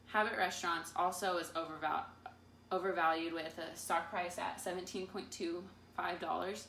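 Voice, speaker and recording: A woman speaks at a moderate pace and a fairly low pitch, with fairly even intonation and long, frequent pauses. Light background noise and audible room echo are present. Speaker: presenter. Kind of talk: class presentation. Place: meeting room. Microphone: camera far.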